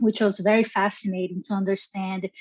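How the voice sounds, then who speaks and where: The voice carries a Brazilian accent, with a dry, close sound and no echo. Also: woman. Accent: Brazilian Portuguese accent, noticeable. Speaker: genetics scientist. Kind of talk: interview. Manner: enthusiastic; halting.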